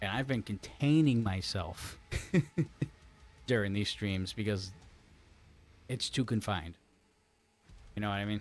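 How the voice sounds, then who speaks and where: A man talks quietly at a fairly low pitch and a fairly slow pace, with long, frequent pauses. The recording is very clean, with a silent background. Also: ordinary pitch variation. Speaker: gaming streamer. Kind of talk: live stream commentary. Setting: home streaming room. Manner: quiet, held-back.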